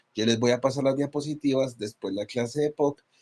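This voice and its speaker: A man has a normal speaking voice at a medium pitch, with ordinary pitch variation and a fairly quick pace. The sound is dry and close, with no echo. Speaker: physician teaching a class. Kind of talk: lecture.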